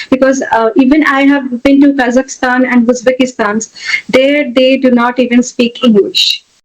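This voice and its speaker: At a moderate pace, this speaker talks in an Indian accent with very even loudness and fairly even intonation. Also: woman, high pitch for a woman. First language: an Indian language, not English. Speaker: educator and technologist. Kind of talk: interview. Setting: podcast. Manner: hesitant, many fillers.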